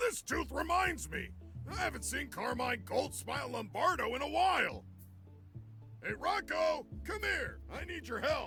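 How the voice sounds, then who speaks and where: With clear music in the background, a man uses a raised, projected put-on character voice at a moderate pace. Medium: game stream. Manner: gruff, wheeling and dealing.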